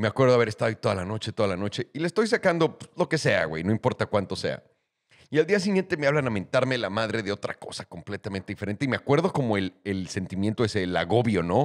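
With a Mexican accent, a man races along at a very fast pace, his intonation lively over a quiet background. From Mexico. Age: 30s. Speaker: podcast host. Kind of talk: casual chat. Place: studio. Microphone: studio mic.

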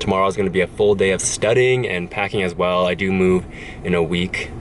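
A man's low-pitched voice at a fairly quick pace, with clear background noise. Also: fairly even intonation.

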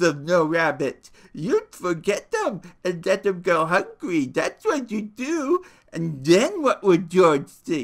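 Natural-voiced reading aloud

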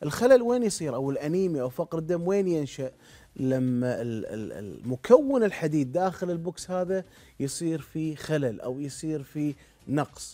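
Against a quiet background, a man talks fairly slowly in a dark, mellow tone. His pitch is fairly high and his intonation lively. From Kuwait. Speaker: internal medicine doctor; guest. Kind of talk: TV interview explaining medical topic. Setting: TV studio. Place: studio. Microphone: lapel.

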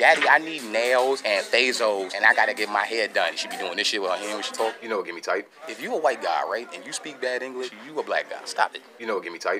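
A man talking at a very fast pace with hardly any pauses, music in the background. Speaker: comedy vlogger. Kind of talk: casual comedic vlog rant. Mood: playful, joking. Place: shop. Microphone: phone near.

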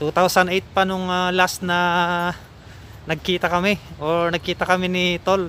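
A man at high pitch, with a bright, sharp tone, monotone, flat intonation and a fairly slow pace, in a very clean recording with a silent background. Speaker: vlogger. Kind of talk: casual vlog narration. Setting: outdoors. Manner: laughs often.

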